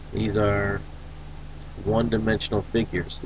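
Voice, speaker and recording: A man speaks fairly slowly in a fairly low voice. The room echo is audible. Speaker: teacher. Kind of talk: recorded lecture.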